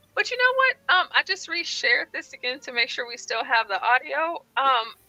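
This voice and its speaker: Raised and projected, a woman's squeaky, high voice makes very wide pitch swings. The sound is dry and close, with no echo. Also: moderate pace. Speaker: live call-in show co-host. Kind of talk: casual chat. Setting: live stream. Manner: animated.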